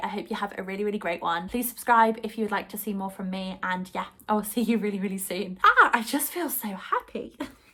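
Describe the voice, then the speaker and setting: A woman rushes along at a very fast pace at medium pitch with ordinary pitch variation. Noticeable background noise runs underneath. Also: hardly any pauses. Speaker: book vlogger. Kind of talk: casual vlog talk to camera. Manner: animated.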